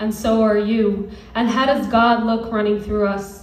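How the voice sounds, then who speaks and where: Noticeable background noise sits behind the speech. A woman talks at a fairly high pitch. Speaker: spoken word poet. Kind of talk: spoken word poetry performance. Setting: live venue.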